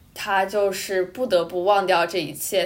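Noticeable background noise surrounds the woman's fairly even intonation. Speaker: student podcast co-host. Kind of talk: casual chat.

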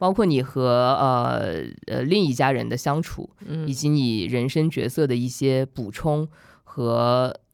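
A woman speaks in a very deep, low voice. Her pitch moves in an ordinary way. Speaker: author and magazine editor. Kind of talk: casual chat. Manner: frank, candid.

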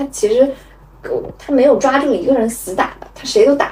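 Fairly quick female speech over clearly audible background noise. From Meizhou, Guangdong (Hakka region). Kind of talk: casual chat.

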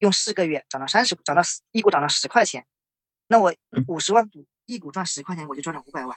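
The speech moves at a very fast pace yet breaks into long, frequent pauses. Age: 30s. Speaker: engineer. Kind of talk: interview. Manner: hesitant.

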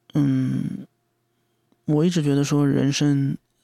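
A man's very slow delivery in a dry, close sound with no echo. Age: 30s. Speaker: podcast host. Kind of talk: solo monologue. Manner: hesitant, many fillers; rambling, unstructured.

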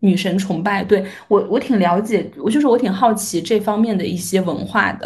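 Somewhat breathy speech at a moderate pace carries ordinary pitch variation and audible room echo. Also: woman, medium pitch for a woman. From Shaanxi, northwest China. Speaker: podcaster. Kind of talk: casual chat.

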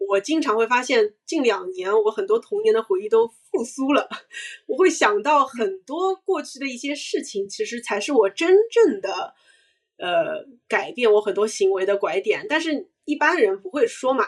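Her voice sits high and swings very widely in pitch. The woman speaks at a moderate pace. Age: 30s. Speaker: brand marketer and startup founder. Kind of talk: casual interview chat.

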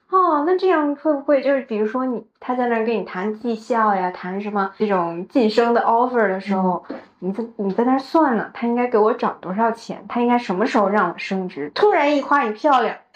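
A woman with a normal speaking voice talks at a fairly quick pace with hardly any pauses. Her pitch is fairly high and her intonation lively. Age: 30s. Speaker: podcast co-host. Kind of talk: casual chat.

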